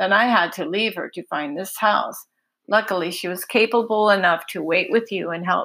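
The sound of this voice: Ordinary pitch variation marks an unforced reading voice against a quiet background.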